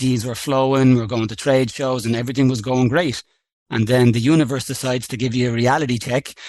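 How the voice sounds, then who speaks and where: A man talks at a very fast pace in a medium-pitched voice. His intonation is monotone and flat. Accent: Irish. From Ireland, Dublin. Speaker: coffee farm company co-founder. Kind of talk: podcast interview.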